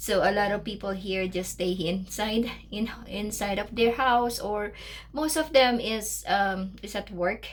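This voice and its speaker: With a Filipino accent, a woman speaks at a fairly slow pace in a medium pitch, with vocal fry and ordinary pitch variation. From Philippines, Tondo, Manila. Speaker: vlogger. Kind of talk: casual vlog talk. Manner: halting, many fillers.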